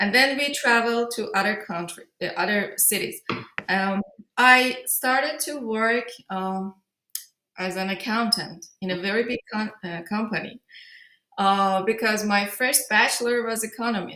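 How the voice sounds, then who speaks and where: Her pitch fairly high, a woman speaks at a fairly slow pace in a bright, sharp tone. Her pitch varies in an ordinary way. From Iran, grew up in Tehran. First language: Persian. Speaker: film director. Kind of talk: interview. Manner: halting.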